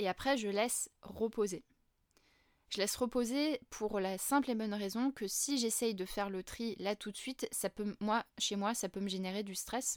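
A woman with an unremarkable speaking voice, fairly high in pitch, with fairly even intonation at a fairly slow pace, in a dry, close sound with no echo on a very clean recording with a silent background. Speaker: facilitation trainer and podcaster. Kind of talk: solo educational podcast talk.

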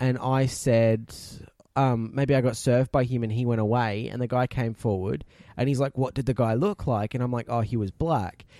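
A man with a strong Australian accent, medium pitch, ordinary pitch variation, a dark, mellow tone and moderate pace, in a dry, close sound with no echo and a very clean recording with a silent background. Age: 20s. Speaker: podcast co-host. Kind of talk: casual chat.

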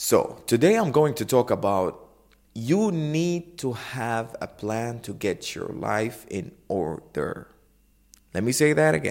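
An energetic tone with very wide pitch swings. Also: man. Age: 20s. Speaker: podcast host. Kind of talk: motivational monologue. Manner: informal, energetic.

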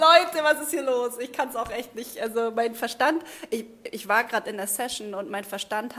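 Her tone is animated, her pitch fairly high for a woman. She speaks at a moderate pace with lively intonation. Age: 30s. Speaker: spiritual coach. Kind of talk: livestream monologue.

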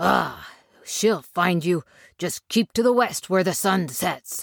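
A woman growls in a put-on character voice at a medium pitch and a fairly slow pace. Her pitch variation is ordinary, and the sound is dry and close with no echo. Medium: audio drama.

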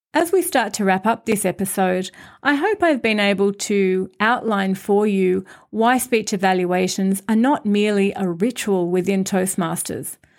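In a very clean recording with a silent background, a woman uses an ordinary speaking voice at medium pitch, moving at a moderate pace with ordinary pitch variation and very even loudness. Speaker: podcast host and Toastmasters member. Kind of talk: scripted podcast monologue about public speaking.

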